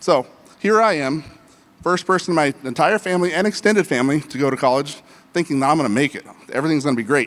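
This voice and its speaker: Talking at a very fast pace, a man with an American accent uses a fairly high pitch and lively intonation. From Colorado, US. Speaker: business consultant and workshop speaker. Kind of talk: conference workshop talk. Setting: stage with live audience. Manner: casual, repetitive stammers.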